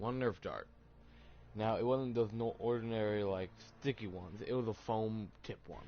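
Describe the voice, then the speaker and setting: A man with an American accent speaks in a fairly even intonation while music plays in the background. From US South, Tennessee. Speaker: streamer. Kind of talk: personal storytelling. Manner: halting.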